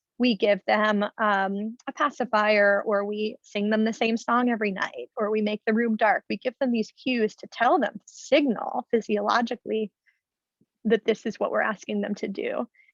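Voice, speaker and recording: A woman with an unremarkable speaking voice talks at a moderate pace in a fairly high pitch, her intonation fairly even, in a dry, close sound with no echo. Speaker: clinical psychologist. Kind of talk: webinar talk.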